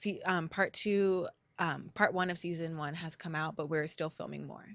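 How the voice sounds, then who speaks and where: A woman in a Californian accent, fairly low in pitch, monotone and flat in intonation, over a quiet background. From La Habra, California. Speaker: singer and actress, guest co-host. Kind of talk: casual interview.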